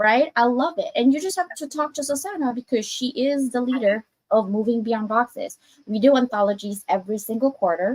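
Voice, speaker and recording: A woman's high-pitched voice, fairly quick, with lively intonation. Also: dry, close sound with no echo. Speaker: author and anthology publisher. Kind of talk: casual interview chat. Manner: loud; animated.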